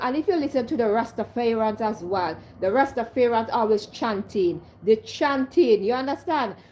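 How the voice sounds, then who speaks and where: A woman with a Jamaican accent speaks at a moderate pace, her voice fairly high and somewhat breathy. Her tone is animated and her intonation lively. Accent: Caribbean (Jamaican-style patois) English. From Caribbean. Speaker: vlogger. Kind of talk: casual monologue vlog.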